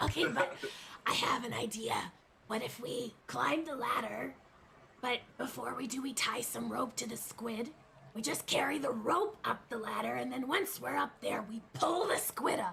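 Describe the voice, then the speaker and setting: Putting on a character voice, a woman sounds raspy at a fairly high pitch. She keeps a moderate pace. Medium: actual play.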